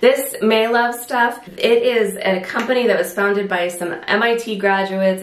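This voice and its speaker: A woman with an American accent speaks at a fairly slow pace in a fairly even intonation. Room echo is audible around her voice. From US, Southern California. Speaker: beauty vlogger. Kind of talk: product review vlog. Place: home room.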